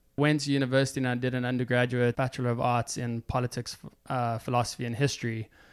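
A man at medium pitch and a moderate pace, his intonation monotone and flat. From South Africa, Johannesburg. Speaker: creative video producer. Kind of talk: casual interview.

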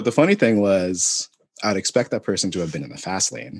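A man talks at a very fast pace with a fairly low pitch and vocal fry. The sound is dry and close, with no echo. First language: not English. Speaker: podcast co-host. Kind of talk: casual chat.

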